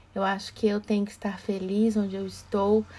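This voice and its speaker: A flat, monotone voice with a dark, mellow tone and a somewhat breathy quality speaks at a moderate pace. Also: woman. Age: 40s. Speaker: diversity and emotional intelligence speaker. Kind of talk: casual chat.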